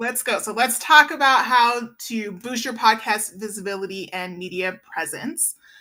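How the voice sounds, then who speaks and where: With an unremarkable speaking voice, a woman talks at a moderate pace with hardly any pauses, her fairly high pitch showing ordinary variation and her loudness swinging widely. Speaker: PR agency owner. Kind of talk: webinar presentation.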